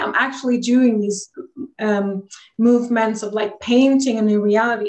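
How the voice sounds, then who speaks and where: A woman with a Swedish accent, fairly high pitch, fairly even intonation and a moderate pace. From Sweden. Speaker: energy healer. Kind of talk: interview.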